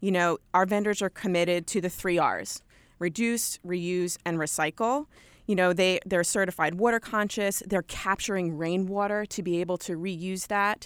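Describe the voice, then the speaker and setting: A woman talks at a medium pitch and a moderate pace with fairly even intonation. The sound is dry and close with no echo, on a very clean recording with a silent background. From Long Island, New York. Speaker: apparel company merchandising director. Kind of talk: radio interview.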